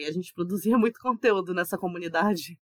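Ordinary pitch variation marks a plain, everyday voice, recorded with a dry, close sound and no echo. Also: woman. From Brazil, Mato Grosso do Sul. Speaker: magazine editor. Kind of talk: casual chat.

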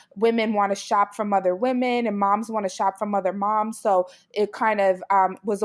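This woman has an ordinary speaking voice, medium in pitch, with an American accent at a moderate pace. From Brooklyn, New York. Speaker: mommy blogger. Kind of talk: interview.

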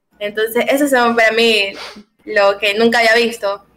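Fairly slow and fairly high in pitch, a woman talks in an unremarkable speaking voice. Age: 20s. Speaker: singer. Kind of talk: casual chat.

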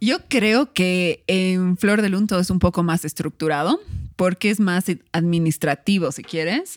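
A woman with a plain, everyday voice speaks at a fairly slow pace in a medium pitch with ordinary pitch variation, in a very clean recording with a silent background and a dry, close sound with no echo. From Bolivia (La Paz, raised in Cochabamba). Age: 30s. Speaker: food entrepreneur and food blogger. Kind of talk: casual interview.

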